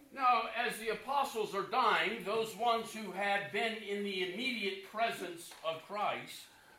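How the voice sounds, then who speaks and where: A man's raised, projected voice, high-pitched with fairly even intonation, at a fairly slow pace, amid noticeable background noise and audible room echo. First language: English (speaking German). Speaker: preacher. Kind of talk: sermon.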